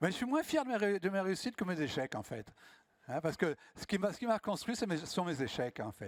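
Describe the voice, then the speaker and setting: A high-pitched, animated man's voice, fairly quick, with very wide pitch swings, in a very clean recording with a silent background and a dry, close sound with no echo. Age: 70s. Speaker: professional public speaker. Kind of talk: conference talk with audience Q&A.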